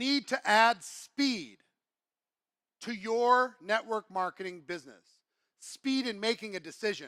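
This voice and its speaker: A man speaks in an animated, raised and projected voice with a bright, sharp tone and a high pitch, at a fairly slow pace with ordinary pitch variation and long, frequent pauses, in a dry, close sound with no echo. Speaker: network marketing speaker. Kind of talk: motivational talk.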